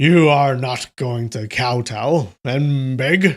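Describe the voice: Very slowly, a man talks with a medium pitch.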